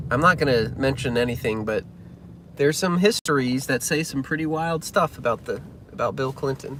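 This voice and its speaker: A man's fairly high voice with lively intonation and a slight Southern US accent, over noticeable background noise. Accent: slight Southern drawl. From Massachusetts, then Memphis from age ten. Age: 30s. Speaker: pianist and entertainer. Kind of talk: casual live-stream chat. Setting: live stream.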